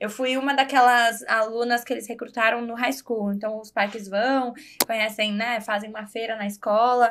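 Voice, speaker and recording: Her pitch sits fairly high, at a moderate pace. The woman's intonation is monotone and flat. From Brazil, Guarulhos, São Paulo; partly raised in Florida. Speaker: podcast guest. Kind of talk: casual interview chat.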